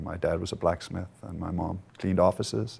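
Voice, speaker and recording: Fairly quick speech with vocal fry, ordinary pitch variation and a Danish accent. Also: man. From Denmark. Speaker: company board member, entrepreneur. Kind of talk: conference interview. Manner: hesitant, many filler words.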